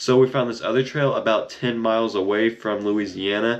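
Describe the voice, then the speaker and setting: Noticeable background noise sits behind a man with an American accent who speaks at a moderate pace, his medium pitch held in fairly even intonation. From US Midwest, Kansas City area. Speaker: YouTuber, paranormal investigator. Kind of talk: casual vlog narration. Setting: outdoors in the woods. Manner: casual, rambling.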